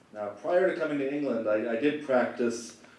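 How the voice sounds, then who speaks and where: A man talking at a fairly quick clip, his intonation fairly even, with audible echo from the room. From Canada. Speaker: lawyer. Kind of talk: conference talk. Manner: casual with fillers and repetitions.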